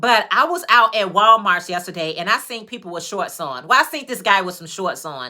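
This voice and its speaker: Over noticeable background noise, a speaker with an American accent talks at a fairly quick pace in an animated tone with hardly any pauses, very wide pitch swings, and big swings in loudness. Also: woman, medium pitch for a woman. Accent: Chicago accent, noticed by others. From Chicago, US. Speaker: YouTuber, crafter. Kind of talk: livestream casual chat. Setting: livestream, on camera.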